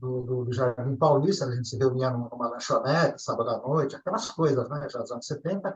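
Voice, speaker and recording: A somewhat breathy voice with ordinary pitch variation. It moves at a fairly quick pace with hardly any pauses. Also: man, fairly high pitch for a man. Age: 60s. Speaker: ufology contactee. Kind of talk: interview storytelling. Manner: casual, conversational.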